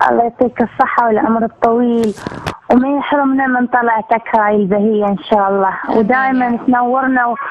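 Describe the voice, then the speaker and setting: Speaking with an Iraqi accent, a woman keeps a fairly even intonation over noticeable background noise. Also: moderate pace. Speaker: caller, actress. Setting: phone call.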